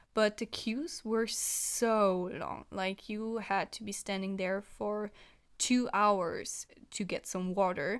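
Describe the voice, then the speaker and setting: A woman with a non-native accent speaks very slowly at medium pitch with ordinary pitch variation, on a very clean recording with a silent background. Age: 20s. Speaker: vlogger. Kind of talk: casual vlog review. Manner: hesitant with fillers.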